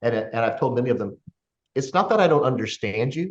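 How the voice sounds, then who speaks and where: Somewhat breathy and at a medium pitch, a man talks at a fairly quick pace with lively intonation. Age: 60s. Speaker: podcast host. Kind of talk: casual chat.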